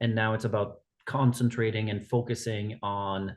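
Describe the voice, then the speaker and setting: A man with a Quebec accent speaks at a medium pitch. His delivery is fairly slow and monotone, with flat intonation. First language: French. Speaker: executive director of an outdoor education organization. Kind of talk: podcast interview.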